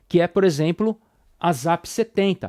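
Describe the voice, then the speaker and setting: Recorded very cleanly against a silent background, with a dry, close sound and no echo, a man with a Brazilian accent speaks at a moderate pace in a high pitch with ordinary pitch variation. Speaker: immunology professor. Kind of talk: lecture. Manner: casual, informal; halting, repeats words.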